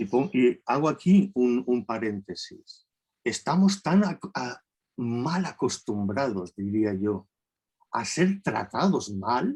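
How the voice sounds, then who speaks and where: A man with a medium pitch talks at a very slow pace, his pitch swinging very widely. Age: 60s. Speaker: therapist, lecturer. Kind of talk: lecture. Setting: video call.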